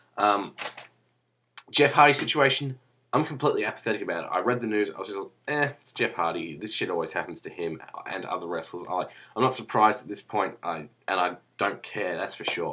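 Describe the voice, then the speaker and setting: A man with an Australian accent and a fairly low pitch speaks at a fairly quick pace with lively intonation, big swings in loudness, and a bright, sharp tone. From Australia, Melbourne. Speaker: wrestling vlogger. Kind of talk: casual vlog monologue. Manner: rambling, casual.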